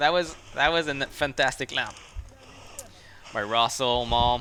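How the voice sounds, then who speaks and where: At a fairly slow pace, a man with a French Canadian accent talks with ordinary pitch variation. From Quebec. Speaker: mountain biker and YouTuber. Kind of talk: live stream commentary. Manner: animated.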